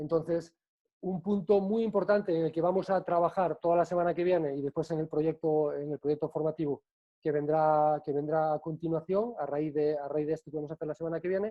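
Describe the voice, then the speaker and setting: Here a man talks at a fairly quick pace with a fairly high pitch. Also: fairly even intonation. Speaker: bartending trainer. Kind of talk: online presentation. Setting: video call. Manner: fast.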